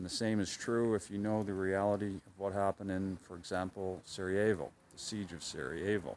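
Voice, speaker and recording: With an American accent, a man speaks at a fairly quick pace in a fairly low pitch, keeping his intonation fairly even and hardly pausing at all. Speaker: cycling travel vlogger. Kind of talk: reflective video diary. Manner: low, subdued.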